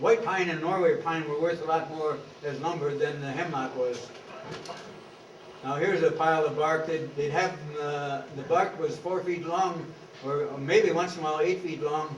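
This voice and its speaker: Speaking at a moderate pace with fairly even intonation, a man with a fairly high voice is heard amid noticeable background noise and audible room echo. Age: 80s+. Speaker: local historian. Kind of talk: lecture. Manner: halting.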